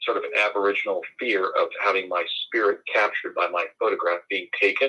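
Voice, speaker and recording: The accent is American. This man talks at a fairly quick clip. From New Jersey. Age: 60s. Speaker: lawyer and public speaker. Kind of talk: interview. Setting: live stream.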